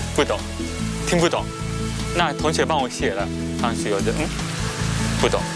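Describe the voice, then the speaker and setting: A man with a Japanese accent at a fairly quick pace, broken by long, frequent pauses, in a dry sound with no echo over loud background music. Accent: Japanese-accented Mandarin. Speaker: law lecturer. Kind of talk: interview answer. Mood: relaxed, smiling. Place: garden. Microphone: lapel.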